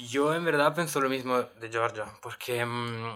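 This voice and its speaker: There is noticeable background noise. A man speaks over it. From Italy, L'Aquila. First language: Italian (speaking Spanish). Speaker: exchange student. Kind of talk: casual chat. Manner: halting.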